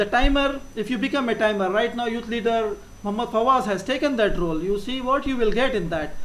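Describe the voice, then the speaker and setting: Noticeable background noise fills the clip. Over it, the words come out very fast. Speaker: Toastmasters club officer explaining meeting roles. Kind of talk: educational talk at club meeting.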